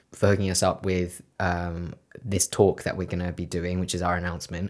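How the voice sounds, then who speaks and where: Over a very clean recording with a silent background, a man with a London accent speaks at a fairly quick pace in a very deep, low voice. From West London. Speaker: podcast co-host. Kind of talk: casual chat.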